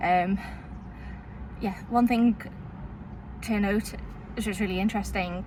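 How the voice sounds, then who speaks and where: Over noticeable background noise, a woman talks at a moderate pace with a fairly high pitch and monotone, flat intonation. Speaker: vlogger. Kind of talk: casual vlog monologue. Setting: in a parked car. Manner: halting, with many fillers.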